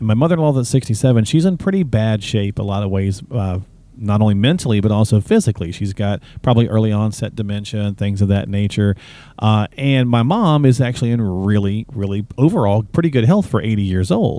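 Here is a normal speaking voice from a man with an American accent. He is fairly low in pitch, with ordinary variation, at a fairly quick pace. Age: 50s. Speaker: guest co-host of a finance radio show. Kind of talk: casual chat.

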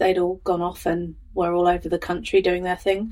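A woman with an English Midlands accent speaks at a moderate pace in a medium pitch with a dark, mellow tone. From England, Northamptonshire. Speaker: life coach and podcast host. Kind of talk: personal storytelling monologue.

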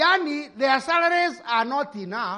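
In a Kenyan accent, a raised, projected voice with a bright, sharp tone moves at a fairly slow pace with lively intonation. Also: man. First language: Kikuyu. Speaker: pastor. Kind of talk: sermon. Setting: church.

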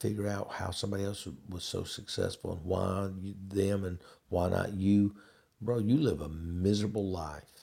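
In a very clean recording with a silent background, a man speaks at a moderate pace in a fairly low, somewhat breathy voice with a dark, mellow tone. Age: 60s. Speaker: podcast host. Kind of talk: casual monologue. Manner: halting, many fillers.

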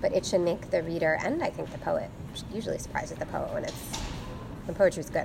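A woman is speaking, and background noise can be clearly heard. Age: 30s. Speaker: poet and English lecturer. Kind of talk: interview.

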